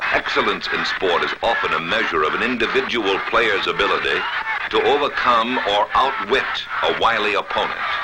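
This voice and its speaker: A man with an American accent talks at a moderate pace against noticeable background noise. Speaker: sports film narrator. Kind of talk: documentary sports narration.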